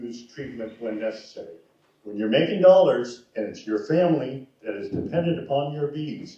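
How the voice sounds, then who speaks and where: A man talks at a moderate pace with lively intonation and a fairly high pitch. His tone is dark and mellow, somewhat breathy, with big swings in loudness. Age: 70s. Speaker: former university extension specialist. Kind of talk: panel discussion.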